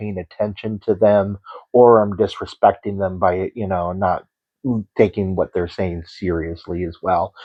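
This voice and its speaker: Quiet and fairly low in pitch, a man speaks with an American accent. His pace is fairly slow. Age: 50s. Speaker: horror storyteller. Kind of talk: personal introduction monologue. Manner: halting, many fillers.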